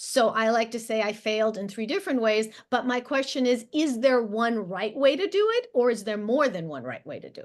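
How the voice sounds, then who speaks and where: A woman's fairly high voice with a Russian accent, lively intonation, a fairly quick pace, hardly any pauses and big swings in loudness, over a quiet background. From former Soviet Union. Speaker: education writer and host. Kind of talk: panel discussion.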